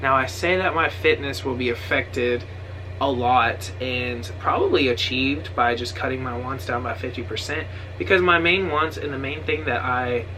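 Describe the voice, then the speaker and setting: Speaking at a moderate pace and medium pitch, a man lets his voice swing very widely. Noticeable background noise and audible room echo fill the recording. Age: 20s. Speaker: vlogger. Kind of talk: casual chat. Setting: sitting on couch at home. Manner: hesitant, many ums.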